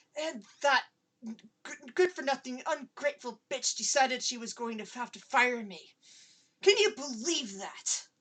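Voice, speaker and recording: A woman shouts and growls in a put-on character voice, high-pitched, with lively intonation and big swings in loudness. She keeps a moderate pace but leaves long, frequent pauses. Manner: growly, rising to high-pitched near-scream.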